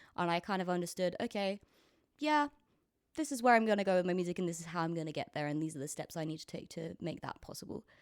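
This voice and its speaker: Captured in a very clean recording with a silent background, a woman with a British accent speaks at a very fast pace and a fairly low pitch. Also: dry, close sound with no echo. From Britain. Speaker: musician. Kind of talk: casual interview. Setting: at home on a couch with friends. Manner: hesitant, many fillers.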